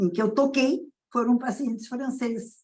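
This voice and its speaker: A woman's dark, mellow voice at a fairly high pitch, at a fairly slow pace. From southern Brazil, Rio Grande do Sul. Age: 80s+. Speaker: pediatrician. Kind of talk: interview.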